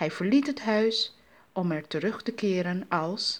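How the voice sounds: Here the reading voice is natural.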